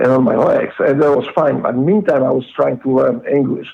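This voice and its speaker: A man with a Polish accent at a moderate pace. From Poland. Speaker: former Navy SEAL, guest. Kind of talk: casual interview, life story. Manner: halting, many fillers.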